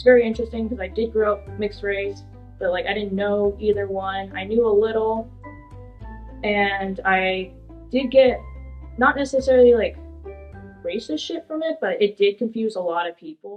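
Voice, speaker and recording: Music plays behind a woman with a Californian accent speaking at a moderate pace and medium pitch, with ordinary pitch variation. Her loudness swings widely, and she pauses often and at length. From Woodland, California. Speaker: community college student. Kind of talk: interview answer. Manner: casual, conversational.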